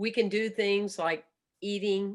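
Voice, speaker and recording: Against a very clean recording with a silent background, a woman speaks at a fairly slow pace. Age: 60s. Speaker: stress management teacher and speaker. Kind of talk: interview conversation. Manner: animated.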